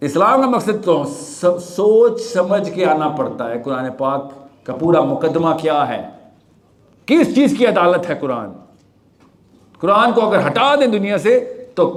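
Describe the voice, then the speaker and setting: The man's pitch is high. His voice moves through very wide pitch swings. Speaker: motivational speaker. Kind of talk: live talk to audience.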